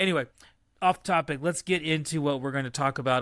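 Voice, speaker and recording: A man with an American accent speaks with ordinary pitch variation in a very clean recording against a silent background. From West Texas. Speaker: podcast host. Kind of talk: casual chat.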